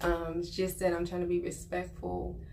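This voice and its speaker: A woman's speech carries audible room echo. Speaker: vlogger giving life advice. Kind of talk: casual monologue to camera. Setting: on vacation, not at home. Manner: quiet, subdued.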